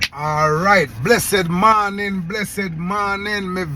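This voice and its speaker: A high-pitched man with a Jamaican accent and lively intonation, speaking fairly slowly, with audible room echo. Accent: Jamaican Patois-accented English. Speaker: YouTube commentator. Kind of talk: casual commentary vlog.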